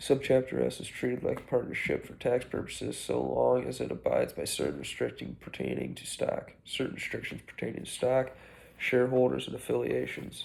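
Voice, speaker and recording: Soft-spoken, a man talks at a fairly quick pace. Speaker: student. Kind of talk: chapter summary. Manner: halting.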